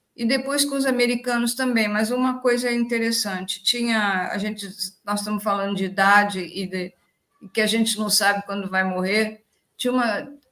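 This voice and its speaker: In a bright, sharp tone, a woman speaks at a moderate pace with a fairly high pitch and ordinary pitch variation. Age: 80s+. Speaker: daughter of a spiritist researcher. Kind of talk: casual chat.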